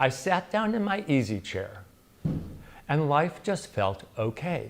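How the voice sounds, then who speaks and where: On a very clean recording with a silent background, a man with an American accent speaks at a fairly slow pace, his fairly high pitch making very wide swings. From US Midwest, Chicago. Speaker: playwright and solo performer. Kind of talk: autobiographical solo stage monologue. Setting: stage with live audience. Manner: sometimes mumbles.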